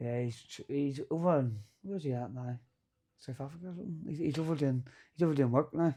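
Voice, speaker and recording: Over a quiet background, a man with a Northern Irish accent talks at a very fast pace in a somewhat breathy, dark, mellow tone, his pitch fairly high and his loudness swinging widely. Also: ordinary pitch variation. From Northern Ireland, County Antrim. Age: 30s. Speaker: boxer and fight promoter. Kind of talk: casual chat. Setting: studio.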